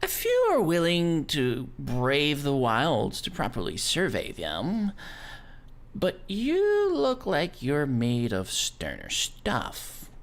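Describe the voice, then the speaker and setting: Using a put-on character voice, a man speaks at a very slow pace. The recording is very clean, with a silent background. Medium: actual play. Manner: formal, polite.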